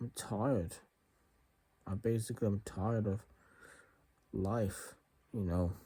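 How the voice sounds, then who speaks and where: Fairly low and somewhat breathy, this man's voice carries a dark, mellow tone. He goes at a fairly slow pace with long, frequent pauses. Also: fairly even intonation. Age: 30s. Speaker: vlogger. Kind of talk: personal confession.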